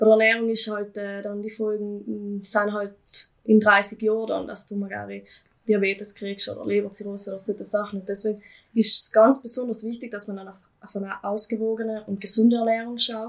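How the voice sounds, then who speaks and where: A woman's fairly high, monotone voice at a fairly quick pace, with big swings in loudness. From South Tyrol, Eisack valley. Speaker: farm youth leader and student. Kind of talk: casual interview.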